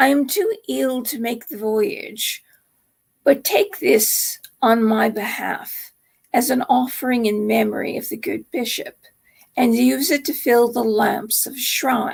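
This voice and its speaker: A woman puts on a raspy character voice, high in pitch. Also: fairly slow pace. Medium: read story.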